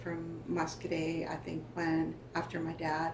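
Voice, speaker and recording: Over noticeable background noise, a woman speaks at a fairly slow pace, and room echo is audible. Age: 60s. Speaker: First Nation elder sharing family history. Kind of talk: oral history interview. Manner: halting, with frequent fillers.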